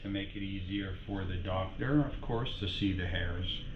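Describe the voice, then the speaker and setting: A man uses a plain, everyday voice at a fairly low pitch. He talks at a fairly slow pace with fairly even intonation. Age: 60s. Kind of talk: casual vlog narration to camera. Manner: light, joking.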